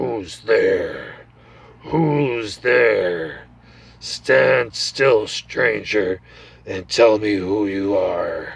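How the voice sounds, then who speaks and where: Using a put-on, growling character voice at a medium pitch, a man speaks at a very slow pace. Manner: threatening, demanding.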